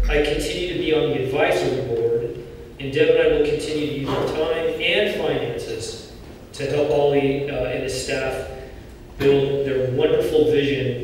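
Strong room echo and light background noise surround a man speaking at a moderate pace. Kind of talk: gala speech. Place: hall. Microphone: podium.

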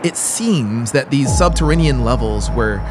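Noticeable noise sits in the background while the words come at a moderate pace. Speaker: audiobook narrator. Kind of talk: horror audiobook reading. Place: studio. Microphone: studio mic.

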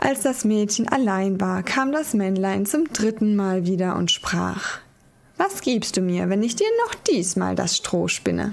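A woman at a very slow pace, her loudness very even throughout. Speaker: ASMR creator. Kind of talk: fairy tale reading, ASMR sleep story. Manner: soft-spoken, slow, calming. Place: home room.

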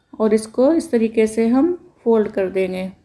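A woman's fairly high, dark, mellow voice at a fairly slow pace. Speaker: home cooking channel host. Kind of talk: cooking tutorial.

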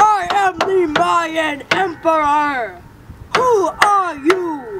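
An extremely high-pitched put-on character voice speaks at a very slow pace over loud background noise. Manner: grand, strange.

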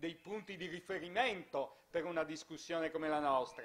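The man holds fairly even intonation while keeping a moderate pace. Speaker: festival moderator. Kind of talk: moderated panel discussion. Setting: stage with audience. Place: hall. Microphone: handheld.

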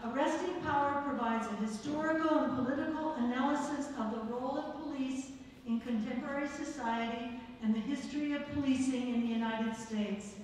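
A woman speaks at a fairly quick pace with a high pitch and fairly even intonation. Strong room echo surrounds her voice, with light background noise. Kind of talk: announcements. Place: hall.

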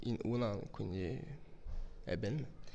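A man talks with a French accent. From France, Brittany. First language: French (speaking Italian). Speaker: footballer. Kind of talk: interview. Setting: training camp. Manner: halting. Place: home room. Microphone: handheld.

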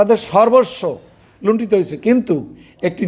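A man speaks with ordinary pitch variation. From Bangladesh, Barisal region. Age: 70s. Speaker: war veteran, local commander. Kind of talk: public speech at protest meeting. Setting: public meeting with audience.

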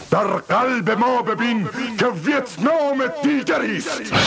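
This man's speech comes at a very slow pace, with noticeable background noise behind it. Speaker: stage and television actor. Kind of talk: poetry reading. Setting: studio. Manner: emotional, impassioned.

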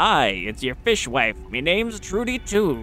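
With clear music in the background, a man uses a put-on character voice at a fairly slow pace.

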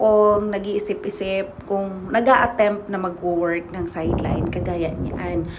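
Noticeable background noise and audible room echo around a woman's voice at a moderate speed. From Philippines. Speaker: vlogger. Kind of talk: casual vlog monologue.

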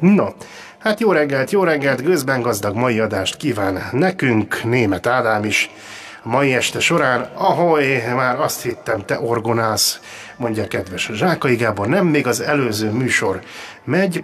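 This man speaks at a very slow pace, his intonation lively. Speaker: radio show host. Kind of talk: casual radio talk show chat. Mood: jokey, good-humoured. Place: studio. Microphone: studio mic.

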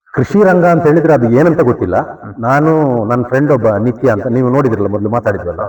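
A man speaks at a medium pitch with lively intonation. Noticeable background noise runs under his voice. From Malnad region, Karnataka, India. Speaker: farmer and homestay owner. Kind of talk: casual interview.

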